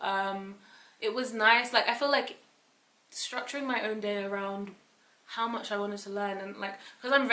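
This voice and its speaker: Audible room echo and noticeable background noise around a woman's fairly high voice at a fairly quick pace. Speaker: YouTuber, aspiring software developer. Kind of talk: casual vlog monologue. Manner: fast; animated.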